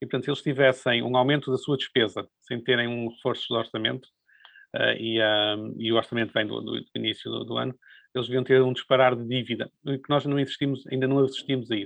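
Flat and monotone, a man speaks very fast at medium pitch. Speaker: economics professor. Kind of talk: interview. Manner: halting, with repetitions.

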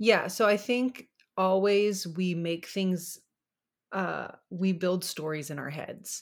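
Ordinary pitch variation at a very slow pace. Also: woman. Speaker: faith podcast co-host. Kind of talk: casual chat.

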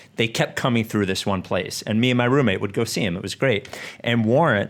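Using a plain, everyday voice, a man with an American accent speaks at medium pitch with ordinary pitch variation on a very clean recording with a silent background. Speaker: podcast host. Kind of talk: casual chat.

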